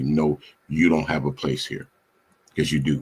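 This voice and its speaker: A man with a very deep, low pitch and vocal fry speaks with lively intonation. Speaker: radio host. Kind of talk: casual chat. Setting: live stream. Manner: halting.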